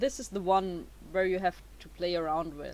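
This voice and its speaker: Her speech carries a non-native accent. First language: not English. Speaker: YouTuber. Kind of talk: tutorial. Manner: halting, many fillers.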